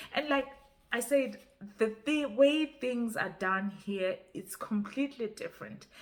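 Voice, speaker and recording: Speaking in a Zimbabwean accent at a fairly slow pace, a woman uses a high pitch with ordinary pitch variation. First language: Ndebele. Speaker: YouTuber. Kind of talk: casual vlog talk. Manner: halting, with repetitions.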